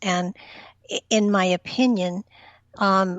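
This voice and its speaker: The woman speaking has a medium pitch. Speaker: spiritual empath, reiki master. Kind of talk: interview answer on talk radio.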